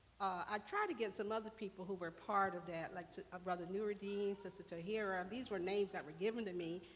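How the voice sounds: A woman speaks at a medium pitch with fairly even intonation. Her pace is fairly quick.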